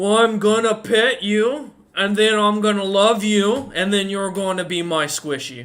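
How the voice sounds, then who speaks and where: At a moderate pace with hardly any pauses, a man does a put-on character voice pitched high. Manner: menacing, playful.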